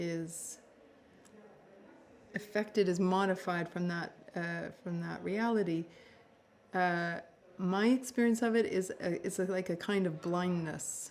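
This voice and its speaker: A woman speaks with a Canadian accent at a medium pitch and fairly even intonation. Her pace is fairly slow, with long, frequent pauses. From Canada (Toronto). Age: 60s. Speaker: novelist. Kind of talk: interview. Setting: festival interview. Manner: halting, many fillers.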